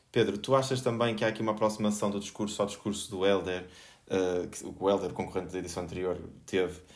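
A man's very deep, low voice at a fairly quick pace, with audible room echo. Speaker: podcast host. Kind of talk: panel discussion. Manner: halting.

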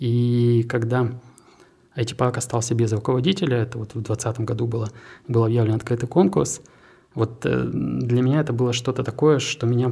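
Pausing long and often, a man with a somewhat breathy voice talks at a medium pitch and moderate pace with ordinary pitch variation. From Siberia, Krasnoyarsk. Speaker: tech park director. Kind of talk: interview.

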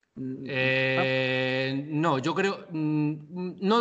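Over noticeable background noise, a man speaks in a fairly high pitch with ordinary pitch variation. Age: 30s. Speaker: digital media and eSports expert. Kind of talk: interview.

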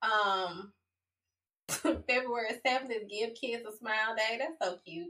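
An American-accented woman speaks at a very slow pace in a bright, sharp tone, her fairly high pitch showing ordinary variation. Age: 40s. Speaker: podcast co-host. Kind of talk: casual chat.

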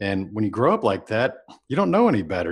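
Speaking with an American accent in a normal speaking voice, a man talks at a fairly quick pace with fairly low pitch. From Texas, Houston area. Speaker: entrepreneur and business mentor. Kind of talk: interview. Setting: podcast recording.

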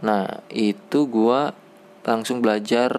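Through noticeable background noise, a man speaks with fairly even intonation at a fairly low pitch. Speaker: podcast host, programmer. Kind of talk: casual monologue. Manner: halting, many fillers.

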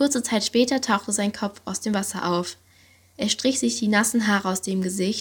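An unforced reading voice with ordinary pitch variation comes through.

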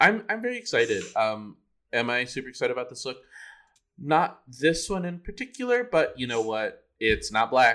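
With an American accent, a man speaks at a moderate pace in a fairly high, bright and sharp voice that makes very wide pitch swings. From Filipino American. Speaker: drag queen podcast co-host. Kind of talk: casual chat.

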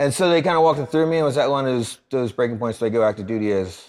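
Very fast male speech in an American accent with lively intonation, on a very clean recording with a silent background. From Philadelphia, US. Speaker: anti-trafficking charity founder and army veteran. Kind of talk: casual interview.

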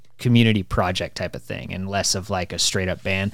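In a very clean recording with a silent background, a man talks fairly quickly in an ordinary speaking voice with ordinary pitch variation. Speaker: podcast host. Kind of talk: casual chat.

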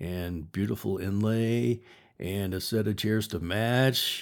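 A man with a normal speaking voice, fairly low in pitch, with ordinary pitch variation and a fairly slow pace, on a very clean recording with a silent background. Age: 60s. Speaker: podcast host and writer. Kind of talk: solo podcast monologue. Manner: casual, conversational.

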